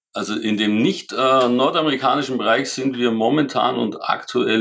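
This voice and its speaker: A man with an ordinary speaking voice goes at a fairly slow pace, his pitch varying in an ordinary way. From Germany, Allgäu (Kaufbeuren). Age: 50s. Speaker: sporting goods company executive. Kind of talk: interview.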